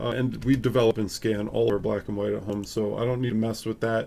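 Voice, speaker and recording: Speaking in a normal speaking voice with an American accent, a man talks at a fairly quick pace with fairly even intonation. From Upstate New York. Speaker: photography youtuber. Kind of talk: casual live stream chat. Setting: live stream at home. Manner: casual, filler-heavy.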